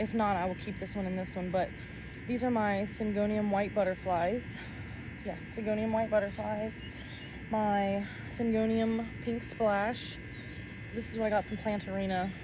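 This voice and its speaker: In a somewhat breathy, dark, mellow voice of medium pitch, a woman speaks in a monotone, flat way with long, frequent pauses and audible room echo. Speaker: plant content creator. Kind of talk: casual tutorial vlog. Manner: fast.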